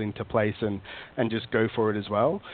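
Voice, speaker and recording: A man with an Australian accent, at a medium pitch and a moderate pace. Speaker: recruiter. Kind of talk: casual interview chat. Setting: phone call.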